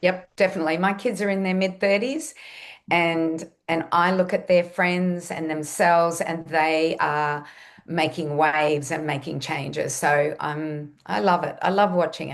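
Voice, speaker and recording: Her voice is fairly low, with an Australian accent, ordinary pitch variation and a fairly slow pace. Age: 60s. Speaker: nutritionist and health educator. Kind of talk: podcast interview.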